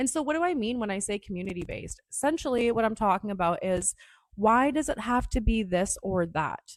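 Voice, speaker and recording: Animated and fairly quick, a woman speaks with a Canadian accent at a fairly high pitch. Her pitch swings very widely, and the sound is dry and close with no echo. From Northern Ontario, Canada (Sault Ste. Marie). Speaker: podcast host and cannabis grower. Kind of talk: casual monologue.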